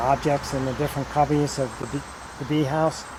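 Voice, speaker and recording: A man's fairly high-pitched, monotone voice with flat intonation, at a fairly quick pace, over noticeable background noise. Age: 60s. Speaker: home gardener and conservationist. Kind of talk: garden tour. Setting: outdoors. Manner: halting, many fillers.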